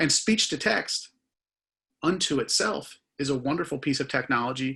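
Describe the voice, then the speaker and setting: With a strong Philadelphia accent, a man speaks at a moderate pace in a bright, sharp tone over a quiet background. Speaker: conversational AI consultant. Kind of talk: conference talk.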